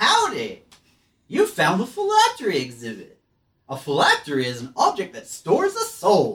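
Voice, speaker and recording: At a moderate speed, the speaker uses a put-on character voice. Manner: chirpy, tour-guide.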